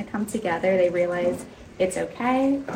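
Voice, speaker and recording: A woman talks at a moderate pace with audible room echo and noticeable background noise. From Colorado, US. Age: young. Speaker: interior designer. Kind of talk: guided home tour. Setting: active construction site.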